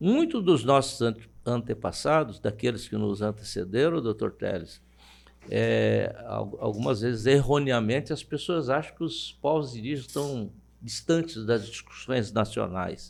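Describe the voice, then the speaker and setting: On a very clean recording with a silent background, a man with a medium pitch and vocal fry speaks fairly slowly with lively intonation. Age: 70s. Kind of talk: interview. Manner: halting.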